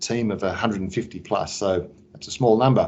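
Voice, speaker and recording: A man with an Australian accent speaks at a fairly quick pace in a medium pitch. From Australia, Sydney. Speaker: business executive. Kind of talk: interview.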